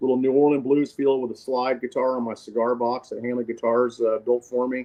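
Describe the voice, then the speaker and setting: A man's medium-pitched voice in an American accent, flat and monotone, at a fairly quick pace. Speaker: singer-songwriter and guitarist. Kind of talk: casual interview chat. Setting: phone call.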